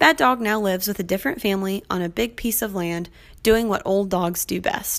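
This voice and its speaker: At a fairly quick pace, a woman talks in a normal speaking voice of medium pitch with ordinary pitch variation. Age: 20s. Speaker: podcast host and dog trainer. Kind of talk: casual solo podcast intro.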